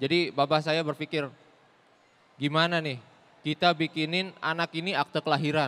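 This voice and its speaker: A bright, sharp tone carries fairly even intonation at a moderate pace. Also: man. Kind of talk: stand-up comedy; stand-up comedy routine. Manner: storytelling, self-deprecating, theatrical. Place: stage. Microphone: handheld.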